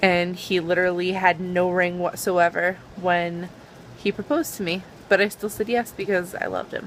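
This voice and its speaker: With a Boston accent, a woman speaks at a moderate pace in a medium pitch and a monotone, flat intonation. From Boston area. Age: 20s. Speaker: YouTuber. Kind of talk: casual vlog.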